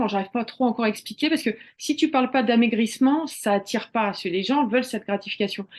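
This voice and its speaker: Against a quiet background, a woman talks very fast at a fairly high pitch with ordinary pitch variation. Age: 40s. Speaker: cooking therapy coach. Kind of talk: casual interview chat.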